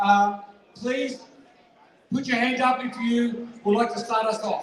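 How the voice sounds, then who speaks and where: A loud man's voice at an extremely high pitch and a fairly slow pace, with noticeable background noise and audible room echo. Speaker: charity auctioneer. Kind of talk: live charity auction pledge appeal. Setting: fundraising dinner hall with audience. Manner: energetic.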